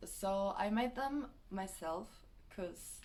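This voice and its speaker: A woman speaks at a medium pitch with a German accent and ordinary pitch variation. Some room echo can be heard. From Germany. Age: 20s. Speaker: vlogger. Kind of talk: casual vlog. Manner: hesitant, many fillers.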